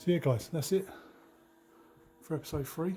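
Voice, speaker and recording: Quiet and mumbling, a man whispers in a southern English accent. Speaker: travel vlogger. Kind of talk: casual vlog talk to camera. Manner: quiet, whispering.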